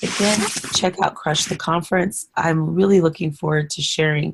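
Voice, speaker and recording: A somewhat breathy woman's voice, very deep and low in pitch, with fairly even intonation. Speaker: podcast host. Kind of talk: solo podcast monologue.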